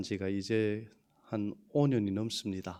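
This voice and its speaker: A man talks at a fairly slow pace with a Yanbian accent. His tone is dark and mellow. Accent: Yanbian Korean dialect. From China, Yanbian (Hunchun), ethnic Korean. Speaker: pastor. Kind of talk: sermon. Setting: church. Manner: halting.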